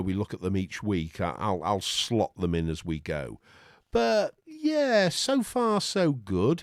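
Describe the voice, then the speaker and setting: Speaking at a fairly slow pace, a man talks with a Lancashire accent. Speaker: tech YouTuber. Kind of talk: casual tech review talk. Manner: halting, repeated words.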